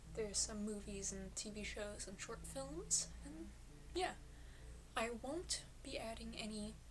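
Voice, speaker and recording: Against noticeable background noise, a woman speaks at a fairly slow pace with long, frequent pauses. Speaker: film collector. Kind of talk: casual rambling talk to camera. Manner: rambling, hesitant.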